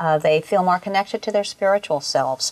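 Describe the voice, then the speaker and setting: A woman with a plain, everyday voice at medium pitch, ordinary pitch variation, a fairly quick pace, and a dry, close sound with no echo. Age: 60s. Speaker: raw food culinary school founder. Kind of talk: interview.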